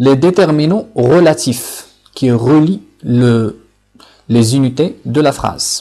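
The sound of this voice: A man speaks slowly at a medium pitch, his tone dark and mellow. His pitch varies in an ordinary way.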